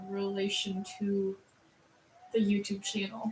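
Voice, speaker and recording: A woman speaks with an American accent. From Minnesota. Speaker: streamer's daughter. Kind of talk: casual chat. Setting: live stream.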